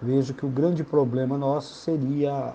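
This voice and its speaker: A man speaks at a fairly slow pace in a medium pitch with fairly even intonation. His voice is somewhat breathy, with a dark, mellow tone. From Paraná, southern Brazil. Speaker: sports federation president. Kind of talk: interview.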